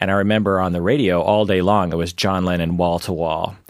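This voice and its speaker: On a very clean recording with a silent background, a man with an American accent speaks at a fairly quick pace with a very deep, low pitch. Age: 40s. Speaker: psychologist podcast host. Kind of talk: casual chat.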